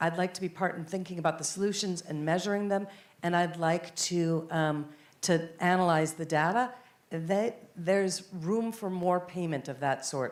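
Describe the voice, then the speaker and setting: An unremarkable speaking voice from a woman with an American accent, fairly low in pitch, with ordinary pitch variation at a moderate pace. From United States. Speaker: panelist at environmental policy conference. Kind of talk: panel discussion.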